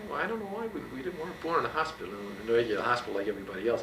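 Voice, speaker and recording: A man with an American accent at a very fast pace, with noticeable background noise and audible room echo. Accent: slight Brooklyn-New Jersey trace. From Bayonne, New Jersey. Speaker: university professor and former basketball coach. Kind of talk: oral history interview. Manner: loud, outspoken; halting with many fillers.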